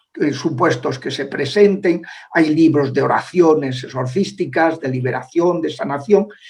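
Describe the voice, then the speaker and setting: Talking fairly slowly, a man uses a fairly high pitch with ordinary pitch variation. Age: 60s. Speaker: priest and former exorcist. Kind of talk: interview. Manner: halting, many filler sounds.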